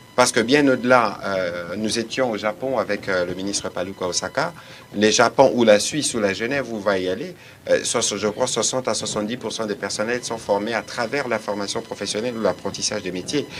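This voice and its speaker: A man talks in an ordinary speaking voice at a fairly quick pace. His pitch is fairly low, with ordinary variation. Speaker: government official. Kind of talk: press briefing. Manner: formal.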